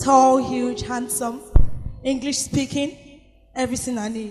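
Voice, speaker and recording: Music plays in the background as a woman speaks at a fairly quick pace. Her voice is high-pitched with fairly even intonation. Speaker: spoken word poet. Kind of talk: spoken word poetry performance. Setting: live event.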